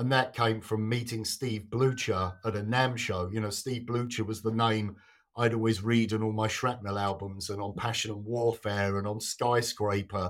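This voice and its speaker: In a southern English accent, a man speaks at a moderate pace with hardly any pauses, in a flat monotone at a fairly low pitch, on a very clean recording with a silent background. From southern England. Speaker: guitarist. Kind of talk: casual chat.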